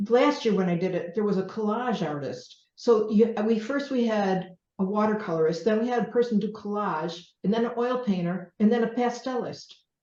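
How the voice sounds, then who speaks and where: Her voice is fairly high yet dark and mellow in tone, as a woman speaks at a moderate pace with ordinary pitch variation and audible room echo. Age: 60s. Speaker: painter. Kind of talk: casual talk to an audience. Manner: halting.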